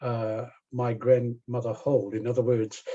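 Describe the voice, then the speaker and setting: A man with a dark, mellow tone talks very slowly, sounding somewhat breathy. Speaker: professor. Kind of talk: lecture. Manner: halting, many fillers.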